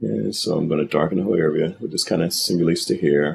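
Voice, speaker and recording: A man talks with a very deep, low pitch and ordinary pitch variation. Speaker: digital artist. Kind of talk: painting tutorial commentary.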